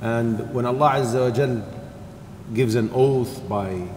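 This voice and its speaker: Some light background noise and audible room echo surround a man as he speaks. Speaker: religious teacher. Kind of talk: lecture. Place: church. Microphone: podium.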